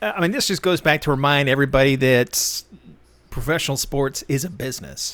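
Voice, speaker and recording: A man speaks in a normal speaking voice with a fairly high pitch, ordinary pitch variation and an American accent. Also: fairly quick pace. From Texas. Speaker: football podcast host. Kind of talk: casual chat.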